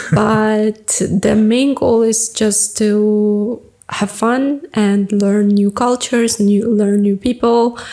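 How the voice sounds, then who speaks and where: Over noticeable background noise, a woman with a non-native accent speaks at a very slow pace in monotone, flat intonation and very even loudness. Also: fairly high pitch for a woman. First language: not English. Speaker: podcast host. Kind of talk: casual chat.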